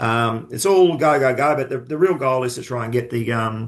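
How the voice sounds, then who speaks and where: A man speaks with an Australian accent. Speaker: club general manager. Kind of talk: podcast interview.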